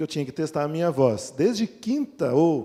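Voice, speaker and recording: The speaker is a man. He has a dark, mellow tone. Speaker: pastor. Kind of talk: sermon.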